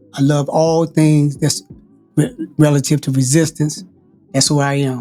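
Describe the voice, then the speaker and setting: A man at fairly high pitch, fairly slow in pace and fairly even in intonation, with music in the background. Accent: American. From Washington DC, southeast. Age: 70s. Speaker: prison activist, former political prisoner. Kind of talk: interview.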